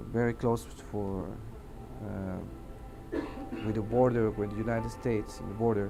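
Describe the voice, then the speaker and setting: A man in a Mexican accent at a fairly slow pace. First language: Spanish. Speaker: air traffic controller. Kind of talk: testimony. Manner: halting, many fillers.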